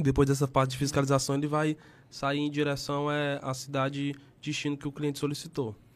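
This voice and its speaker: A man talks at a fairly quick pace in a fairly high, monotone, flat voice. The recording is very clean with a silent background. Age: 20s. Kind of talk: podcast interview.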